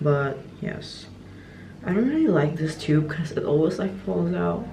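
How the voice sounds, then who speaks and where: A woman is speaking with noticeable background noise behind her. Audible room echo surrounds her voice. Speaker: lifestyle vlogger. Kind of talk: casual vlog narration. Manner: casual, chatty.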